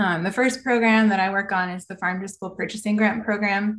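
Somewhat breathy female speech with fairly even intonation. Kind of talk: presentation to online panel. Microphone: video call.

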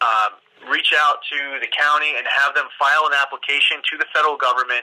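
The pace is moderate. The background is quiet. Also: man. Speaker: politician hosting call-in. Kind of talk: telephone town hall hosting.

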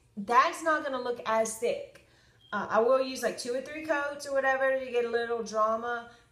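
At a moderate pace, a woman with a high pitch speaks with fairly even intonation in audible room echo. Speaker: makeup vlogger. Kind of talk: casual tutorial chat. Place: home room. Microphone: phone near.

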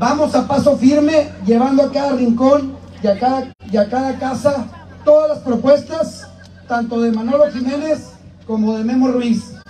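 Crowd noise fills the background as a man with an extremely high pitch speaks at a fairly slow pace with fairly even intonation, with audible room echo. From Piedras Negras, Coahuila, Mexico. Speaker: congressional candidate. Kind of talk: campaign rally speech. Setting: outdoor rally with crowd. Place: open country.

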